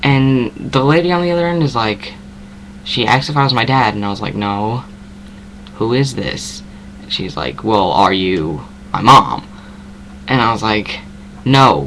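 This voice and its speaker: A man with an American accent, fairly low-pitched and fairly slow, with very wide pitch swings, audible room echo and noticeable background noise. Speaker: vlogger. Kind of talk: casual chat. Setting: webcam at home. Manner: filler-heavy.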